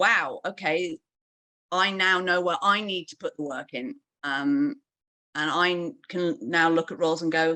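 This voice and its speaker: A woman's fairly low voice with a British accent, bright and sharp in tone, against a quiet background. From UK. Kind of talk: panel discussion at online launch event. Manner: hesitant, many fillers.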